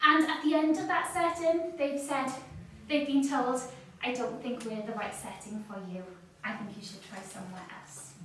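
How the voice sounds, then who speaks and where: Her high pitch sweeping very widely and her loudness swinging a lot, a woman speaks at a moderate pace over noticeable background noise and audible room echo. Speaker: seminar speaker on additional learning needs. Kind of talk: seminar talk. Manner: hesitant, many ums.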